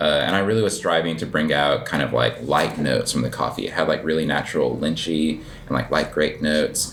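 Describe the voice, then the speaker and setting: A man talks at a fairly quick pace in an American accent. There's noticeable background noise and audible room echo. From New Mexico, US. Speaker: coffee shop owner and barista. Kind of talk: casual interview. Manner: hesitant, many fillers.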